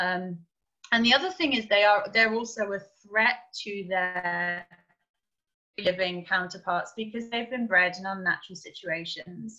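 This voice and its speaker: With an English accent, a bright, sharp voice speaks at a fairly slow pace with long, frequent pauses against a quiet background. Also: woman, ordinary pitch variation. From England. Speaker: primate sanctuary director; guest. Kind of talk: interview. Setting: video call. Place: home room. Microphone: video call.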